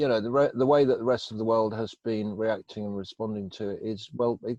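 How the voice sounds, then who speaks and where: In an English Midlands accent, a man talks at a moderate pace and medium pitch, the sound dry and close with no echo. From England, Northampton. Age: 50s. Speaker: recovering addict telling life story. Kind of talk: interview. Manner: hesitant, many fillers.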